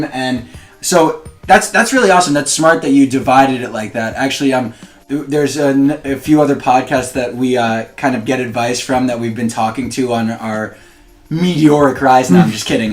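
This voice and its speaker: With an unremarkable speaking voice of medium pitch, a man talks at a moderate pace with ordinary pitch variation. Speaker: podcast host. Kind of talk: podcast interview, casual conversation.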